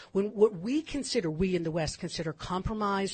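Speaking with an American accent, a woman sounds somewhat breathy and uses lively intonation. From California. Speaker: commentator on Israeli history. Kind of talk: radio interview.

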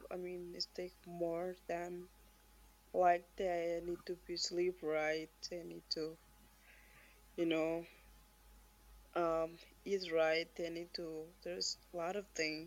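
A woman talks very slowly with long, frequent pauses. Her intonation stays monotone and flat. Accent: Marshallese. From Marshall Islands. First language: Marshallese. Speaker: weightlifter, Olympian. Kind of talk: casual interview. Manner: halting.

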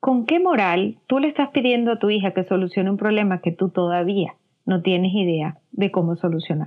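A woman talks at a moderate pace in a normal speaking voice, medium in pitch. Her intonation is lively while her loudness stays very even. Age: 40s. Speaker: weight management coach. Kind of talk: interview.

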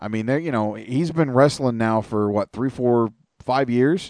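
A man with a normal speaking voice talks at a moderate pace, medium pitch and ordinary pitch variation. The sound is dry and close with no echo, over a quiet background. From Canada. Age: 40s. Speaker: podcast host.

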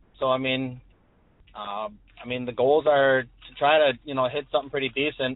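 Speaking at a moderate pace and medium pitch, the man keeps his intonation fairly even while his loudness swings widely. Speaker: caller, hunter. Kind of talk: casual chat.

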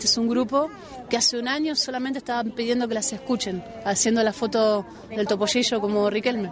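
Noticeable background noise runs under this clip. A woman with a fairly high pitch talks very fast. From Argentina, Buenos Aires. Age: 50s. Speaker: football coach. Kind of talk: interview. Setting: outdoors.

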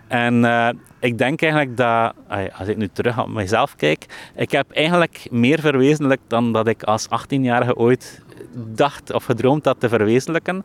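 A man with an unremarkable speaking voice talks at a moderate pace and medium pitch, with ordinary pitch variation and a dry, close sound with no echo. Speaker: software entrepreneur and author. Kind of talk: interview. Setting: outdoors in a park.

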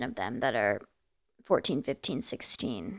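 Speaking with an American accent and vocal fry, a woman keeps a moderate pace on a very clean recording with a silent background. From New Jersey. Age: 20s. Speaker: singer. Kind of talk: casual interview chat.

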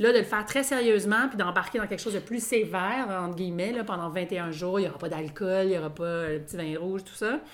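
A woman speaks very fast at a medium pitch, barely pausing, with ordinary pitch variation and big swings in loudness. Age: 40s. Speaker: podcast co-host. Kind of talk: casual chat. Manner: halting.

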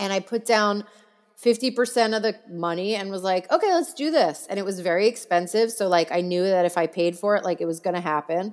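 A woman speaks at a fairly quick pace in a normal speaking voice, with medium pitch and ordinary pitch variation. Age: 40s. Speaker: celebrity makeup artist. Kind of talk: casual chat.

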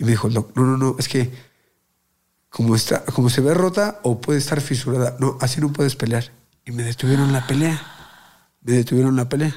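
A man's dark, mellow voice at medium pitch, with ordinary pitch variation, a fairly quick pace and long, frequent pauses. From Mexico City (Azcapotzalco). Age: 20s. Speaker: professional boxer. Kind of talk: casual interview chat.

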